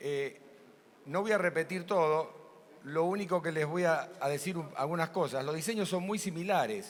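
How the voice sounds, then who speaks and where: Audible room echo is heard as a man with a fairly high voice and ordinary pitch variation talks at a fairly slow pace. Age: 70s. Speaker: ophthalmic surgeon. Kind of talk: conference talk.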